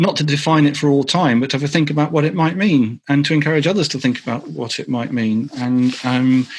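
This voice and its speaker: A man with a North London accent and a fairly high pitch, fairly quick in pace, with fairly even intonation and a quiet background. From North London, England. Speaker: author and agile consultant. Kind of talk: Q&A answer in online meetup talk. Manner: many fillers and repetitions.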